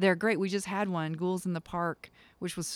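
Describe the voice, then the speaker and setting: A woman with an American accent is heard in a very clean recording with a silent background and a dry, close sound with no echo. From US South, eastern North Carolina. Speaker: military commander. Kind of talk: interview.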